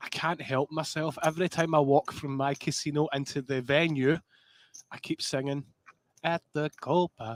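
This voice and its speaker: Heard as a dry, close sound with no echo, the speaker has a strong Scottish accent, a moderate pace and fairly even intonation. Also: man, fairly high pitch for a man. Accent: thick Scottish. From Scotland. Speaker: poker commentator. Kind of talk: live commentary. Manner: casual, jokey.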